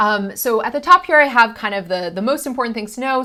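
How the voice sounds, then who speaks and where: A woman talks with an American accent and ordinary pitch variation. Her tone is bright and sharp. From Boston area, US. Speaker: math college instructor. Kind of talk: recorded course introduction lecture. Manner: casual, many fillers (um, like).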